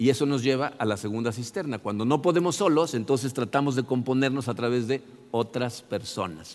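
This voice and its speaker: A man speaks at a medium pitch. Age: 60s. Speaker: pastor. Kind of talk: sermon. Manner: halting.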